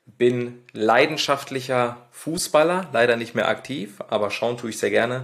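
In a normal speaking voice, a man talks at a medium pitch with ordinary pitch variation on a very clean recording with a silent background. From Ruhr area, Germany (Lünen near Dortmund). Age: 20s. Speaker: podcast co-host. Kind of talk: casual podcast intro.

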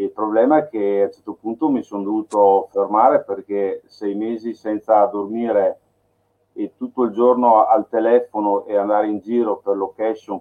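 A man talks at a moderate pace with fairly low pitch. His intonation stays monotone and flat. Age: 40s. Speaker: filmmaker. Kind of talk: casual chat.

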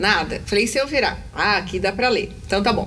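A woman speaks in an animated tone. Noticeable background noise can be heard. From Brazil, São Paulo. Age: 40s. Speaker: inclusion entrepreneur and YouTube presenter. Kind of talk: casual interview. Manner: talkative, animated.

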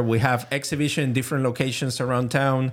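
A man with a Venezuelan accent speaks at a fairly quick pace. His medium pitch stays monotone, with flat intonation. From Venezuela, Caracas. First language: Spanish. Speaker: printmaker and art professor. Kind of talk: casual interview. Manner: halting.

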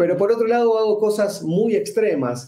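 The voice has a dark, mellow tone and an Argentine accent. It moves at a fairly slow pace. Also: man. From Argentina. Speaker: extreme performer, magician and speaker. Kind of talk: interview.

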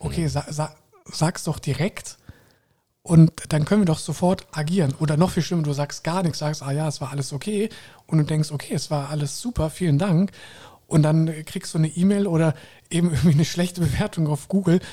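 Pausing long and often, a man talks at a fairly quick pace in a fairly high pitch, with a dark, mellow tone and fairly even intonation. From Koblenz, Rhineland, Germany. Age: 30s. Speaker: hotel general manager. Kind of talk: interview. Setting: hotel penthouse.

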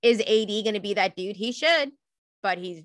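At a moderate pace, a woman with a plain, everyday voice speaks with ordinary pitch variation. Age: 30s. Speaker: sports podcast co-host. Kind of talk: casual chat.

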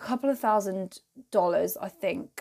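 Her pitch medium, a woman speaks in an unremarkable speaking voice with lively intonation. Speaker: podcast host and entrepreneur. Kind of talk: solo podcast monologue, casual freestyle. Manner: casual, chatty, self-deprecating.

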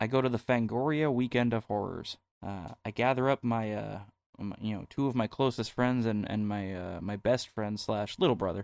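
A man talks in an ordinary speaking voice at a medium pitch, with ordinary pitch variation. The recording is very clean, with a silent background and a dry, close sound free of echo. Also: moderate pace. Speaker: podcast co-host. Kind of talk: casual chat.

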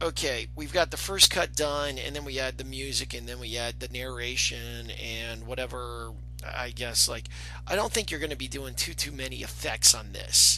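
Amid audible room echo and noticeable background noise, a man with a very deep, low pitch speaks at a moderate pace in a monotone, flat intonation, his loudness swinging widely. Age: 40s. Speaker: podcast host. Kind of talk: casual interview.

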